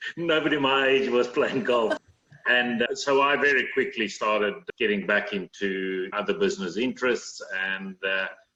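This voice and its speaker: With a South African accent, a man talks at a moderate pace. His medium-pitched voice swings very widely in pitch. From South Africa, Cape Town. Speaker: managing director of engineering company. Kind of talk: interview.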